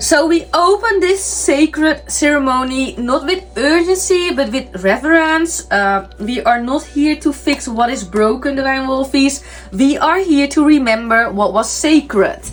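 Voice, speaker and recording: Over noticeable background noise, a woman speaks at a fairly slow pace with hardly any pauses, her high voice carrying lively intonation. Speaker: tarot reader, spiritual medium. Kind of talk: tarot reading. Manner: halting, many fillers.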